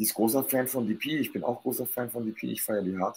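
A man with a normal speaking voice, medium pitch and ordinary pitch variation. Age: 40s. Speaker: guest on live talk show. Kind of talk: casual chat.

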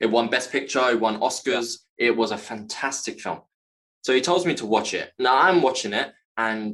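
A medium-pitched man with a London accent, ordinary pitch variation and a fairly quick pace. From West London, England. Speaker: actor and author. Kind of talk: interview about personal trauma. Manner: halting.

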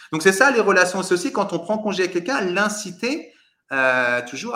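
A man speaks in a raised, projected voice at a fairly quick pace. His voice is high-pitched and bright and sharp in tone, with very wide pitch swings. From Paris suburbs, France. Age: 40s. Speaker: real estate adviser and coach. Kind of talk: interview.

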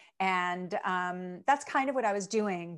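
At a moderate pace, a woman with an American accent uses lively intonation in a plain, everyday voice, on a very clean recording with a silent background. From Chicago, US Midwest. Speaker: aromatherapy educator and entrepreneur. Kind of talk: interview. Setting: home video studio.

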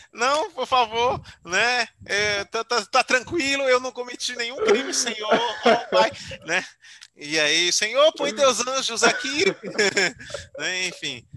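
A man's raised, projected voice at an extremely high pitch, very slow in pace, with lively intonation. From Aracaju, Sergipe, Brazil. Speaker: YouTuber and digital strategist. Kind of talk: casual interview chat.

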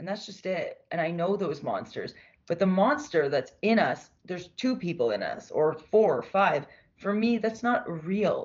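A woman's medium-pitched voice at a fairly slow pace, with lively intonation. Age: 30s. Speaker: mental health advocate and therapy student. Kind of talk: casual interview. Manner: animated.

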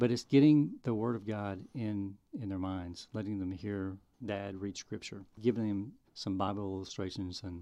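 A man speaks in a fairly low pitch with a dark, mellow tone. The background is quiet. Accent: Southern US. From Arkansas. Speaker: filmmaker. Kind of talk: testimony.

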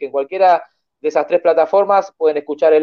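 With a Rioplatense accent, a man speaks at a high pitch. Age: 40s. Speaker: horror film podcast host. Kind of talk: casual chat.

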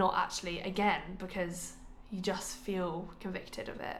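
Audible room echo surrounds a woman's voice. She speaks in a monotone, with flat intonation. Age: 20s. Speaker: podcast co-host, medical student. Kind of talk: casual chat.

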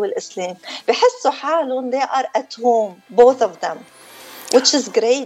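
A woman's high-pitched voice with music playing in the background. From northern Lebanon. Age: 50s. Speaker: beautician and former media personality. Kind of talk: interview.

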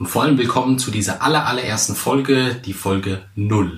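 Noticeable background noise fills the recording. Over it, a man is talking. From central Hesse, Germany. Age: 30s. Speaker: podcast host, public speaking coach. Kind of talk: solo podcast introduction.

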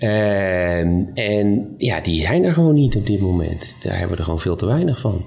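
A man talks in a fairly low pitch with lively intonation and hardly any pauses. Noticeable background noise and audible room echo fill the recording. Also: moderate pace. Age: 40s. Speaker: hospital doctor. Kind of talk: casual chat. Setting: restaurant.

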